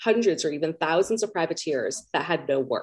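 A woman's fairly low voice with a Californian accent. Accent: Californian American. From US West Coast, Los Angeles. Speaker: pirate historian. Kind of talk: interview answers.

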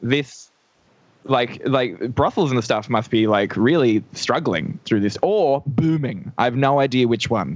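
A man with an Australian accent, fairly high pitch, very even loudness and a moderate pace. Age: 20s. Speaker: comedian. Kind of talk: casual chat. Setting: video call.

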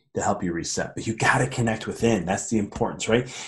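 A somewhat breathy, medium-pitched male voice at a fairly quick pace, with ordinary pitch variation. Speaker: podcast host. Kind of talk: solo monologue on mindfulness. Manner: fast; animated.

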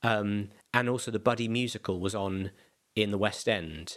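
With a South London accent, a man talks at a moderate pace and medium pitch with ordinary pitch variation, recorded very cleanly against a silent background. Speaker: comedian. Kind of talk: casual chat. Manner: halting.

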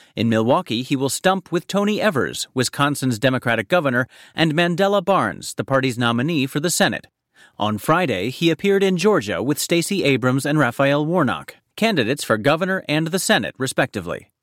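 Recorded very cleanly against a silent background, with a dry, close sound and no echo, a man speaks at a fairly high pitch and a fairly quick pace, his very even loudness set against very wide pitch swings. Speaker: news presenter. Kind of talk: scripted news reading, measured feature-style bulletin delivery. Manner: crisp, composed and evenly paced, polished broadcast diction.

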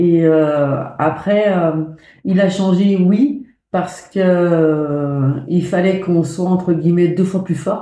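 A woman speaks at a fairly low pitch with a dark, mellow tone and ordinary pitch variation, and the room echo is audible. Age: 50s. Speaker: mother of a cancer patient. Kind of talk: testimony. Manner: halting.

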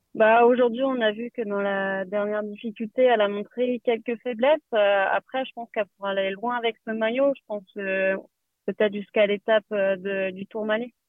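An ordinary speaking voice at a moderate pace with fairly even intonation. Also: woman, fairly high pitch for a woman. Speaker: cycling team sports director. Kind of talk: interview. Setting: in a car, remote.

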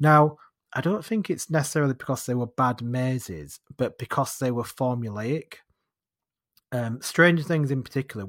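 In a very clean recording with a silent background and a dry, close sound with no echo, a man with a northern English accent speaks at a medium pitch. He keeps a moderate pace and ordinary pitch variation, with long, frequent pauses. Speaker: podcast host. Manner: chatty, casual storyteller.

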